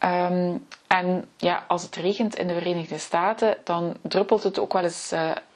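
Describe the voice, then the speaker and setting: At a very slow pace, a woman talks in a fairly low pitch with fairly even intonation. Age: 40s. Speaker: podcast host, personal historian. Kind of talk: solo podcast talk. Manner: hesitant, many filler sounds.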